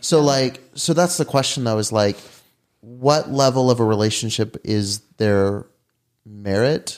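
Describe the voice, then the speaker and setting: The recording is very clean against a silent background. Delivery is fairly quick, and the pitch varies in an ordinary way. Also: man. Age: 20s. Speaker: podcast host. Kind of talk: casual chat.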